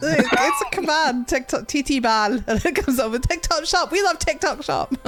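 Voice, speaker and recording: With a Scottish accent, the speaker moves at a moderate pace over noticeable background noise. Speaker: podcast host and streamer. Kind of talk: casual chat.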